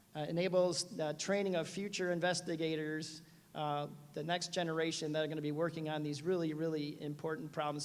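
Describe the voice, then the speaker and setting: A man's fairly high voice at a very fast pace, with audible room echo. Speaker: medical researcher. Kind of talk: conference talk. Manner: animated.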